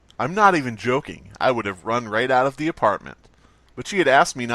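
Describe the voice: The speaker is plainly reading aloud with lively intonation.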